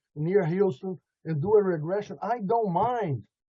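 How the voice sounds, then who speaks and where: A man's high pitch with ordinary pitch variation, at a moderate pace. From Brazil. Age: 70s. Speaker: alleged UFO abductee. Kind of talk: interview. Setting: video call.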